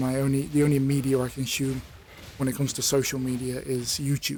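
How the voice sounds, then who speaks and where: At a very fast clip, a man talks in a medium-pitched voice. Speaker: YouTuber. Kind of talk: personal monologue. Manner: monotone; halting, many fillers.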